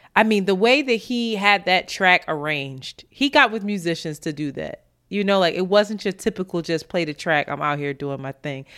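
A woman speaks at a medium pitch and a moderate pace with hardly any pauses. Her intonation is lively, and the recording is very clean with a silent background. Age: 30s. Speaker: podcast co-host. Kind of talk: casual chat.

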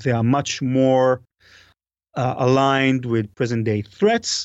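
A man's medium-pitched voice at a moderate pace. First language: not English. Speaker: podcast host and author on cybersecurity. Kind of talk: interview. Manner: halting, many repetitions and fillers.

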